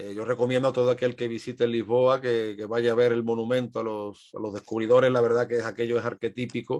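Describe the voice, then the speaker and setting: The voice runs at a very fast pace with hardly any pauses and monotone, flat intonation over a quiet background. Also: man, medium pitch for a man. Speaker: historian. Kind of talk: podcast interview.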